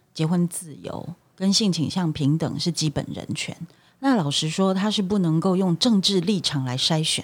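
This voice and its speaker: Very clean recording, silent background, an unremarkable speaking voice. The pace is moderate and the intonation lively. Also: woman. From Taiwan. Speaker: lawyer, human rights worker. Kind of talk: casual discussion.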